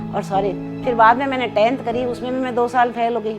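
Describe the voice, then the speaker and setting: A woman talks at a fairly high pitch with ordinary pitch variation while music plays in the background. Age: 70s. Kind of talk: interview answer.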